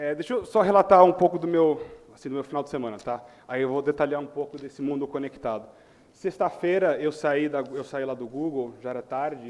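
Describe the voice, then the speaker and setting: A man speaks with a Chicago accent at a fairly quick pace. His pitch is fairly high, with ordinary variation. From US Midwest, Chicago. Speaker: tech company manager, panel speaker. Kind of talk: conference talk.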